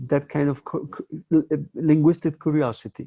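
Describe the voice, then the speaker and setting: A man with a Spanish accent, a fairly high pitch and a dark, mellow tone speaks at a moderate pace in a dry, close sound with no echo. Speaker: film festival host. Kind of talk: interview. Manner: halting.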